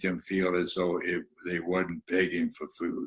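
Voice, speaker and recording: A man speaks at a very deep, low pitch. His pace is fairly slow. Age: 90s. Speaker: author and storyteller. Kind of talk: interview.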